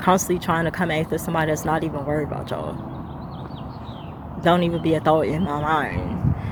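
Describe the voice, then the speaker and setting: Noticeable background noise sits under speech that runs at a very fast pace yet breaks into long, frequent pauses. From United States. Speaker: lifestyle vlogger. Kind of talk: casual vlog monologue. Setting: outdoors in a park. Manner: animated.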